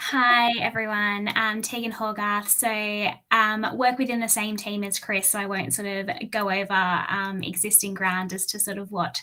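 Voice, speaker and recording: A woman with an Australian accent at a medium pitch and moderate pace, her intonation monotone and flat, against noticeable background noise. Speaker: engineer and infrastructure advisor. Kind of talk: webinar talk. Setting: online webinar.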